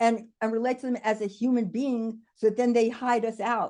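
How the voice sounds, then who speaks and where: With a New York accent, the speaker talks at a fairly quick pace in a dark, mellow tone with fairly even intonation over a quiet background. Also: woman. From New York City (the Bronx). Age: 70s. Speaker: diversity and inclusion consultant. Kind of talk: video call town hall contribution.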